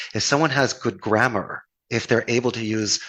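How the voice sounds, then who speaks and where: With ordinary pitch variation, a man talks at a medium pitch against a quiet background. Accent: Philadelphia. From US Northeast, Philadelphia. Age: 50s. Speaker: call center owner. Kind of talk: podcast interview.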